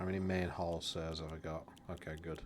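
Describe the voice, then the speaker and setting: A man is speaking. He keeps a moderate pace. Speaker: video game streamer. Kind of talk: live gameplay commentary. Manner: quiet.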